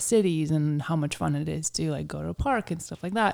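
Recorded very cleanly against a silent background, a woman with a very deep, low voice speaks at a very fast pace. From Ukraine. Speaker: fitness coach and business owner. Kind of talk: casual interview.

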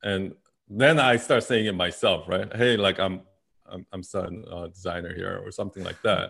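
Speaking at a moderate pace with a fairly low pitch and ordinary pitch variation, the man makes big swings in loudness. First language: not English. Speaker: branding agency founder. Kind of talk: interview.

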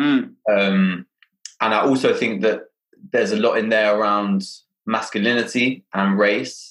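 In a London accent, a man speaks fairly slowly with very even loudness. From London, Hackney. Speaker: podcast host. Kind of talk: casual interview conversation.

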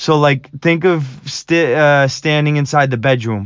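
Fairly even intonation marks this man's speech. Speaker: carpenter and small business owner, podcast host; army veteran. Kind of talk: unscripted personal story monologue. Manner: unscripted, some stumbling over words.

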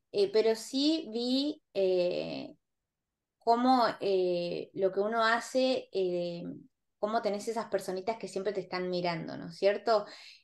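Against a quiet background, a woman of medium pitch speaks at a very slow pace with big swings in loudness. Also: ordinary pitch variation. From Argentina, rural Buenos Aires province. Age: 40s. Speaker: interview guest. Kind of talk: casual interview.

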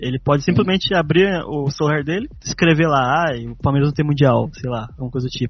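This man talks very fast with hardly any pauses, his fairly high voice somewhat breathy and his pitch varying in an ordinary way. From Brazil, Taubaté (São Paulo state). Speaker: podcast co-host. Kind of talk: casual interview chat.

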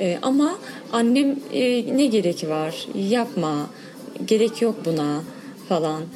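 Amid noticeable background noise, a woman speaks very slowly at a fairly high pitch, her pitch swinging very widely between long, frequent pauses. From Diyarbakır, Sur district. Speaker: cyclist, women's cycling group member. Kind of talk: interview.

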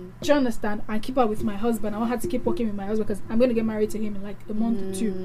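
A woman with a Nigerian accent and a fairly high pitch. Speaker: radio host. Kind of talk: casual chat. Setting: studio. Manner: animated.

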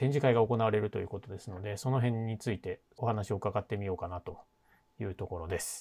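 A man talks at a fairly quick pace in a fairly low, dark, mellow voice that is somewhat breathy, with ordinary pitch variation. His loudness swings widely, and the recording is very clean with a silent background. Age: 40s. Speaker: podcast host, string instrument repairer. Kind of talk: casual interview.

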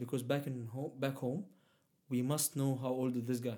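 A man with a dark, mellow tone speaks fairly quickly at a medium pitch in a flat monotone. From Egypt. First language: Arabic. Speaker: immigrant sharing life story. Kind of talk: casual interview. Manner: halting, many fillers.

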